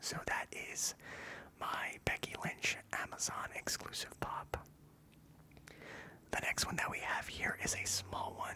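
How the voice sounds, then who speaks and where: A man whispers at a very slow pace. There is noticeable background noise. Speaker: ASMR content creator. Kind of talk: whispered ASMR ramble about a collection. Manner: whispered, soft, relaxing.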